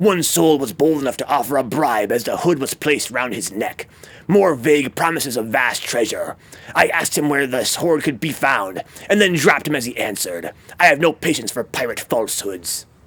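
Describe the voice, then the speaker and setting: A man puts on a character voice at a fairly high pitch. He talks at a fairly quick pace. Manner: mild, half-hearted.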